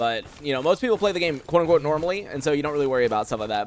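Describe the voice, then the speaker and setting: A man is speaking. Noticeable background noise runs under the recording. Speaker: gaming streamer. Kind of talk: live stream gameplay commentary. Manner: fast; casual, filler-heavy.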